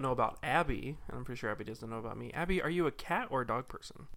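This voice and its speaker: Very fast and full of vocal fry, a man talks with an American accent. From Utah. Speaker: podcast co-host. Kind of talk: casual chat.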